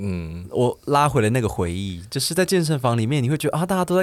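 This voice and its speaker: A man talks very fast at a medium pitch, his voice swinging very widely in pitch. The recording is very clean, with a silent background. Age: 30s. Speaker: podcast guest. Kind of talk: casual chat.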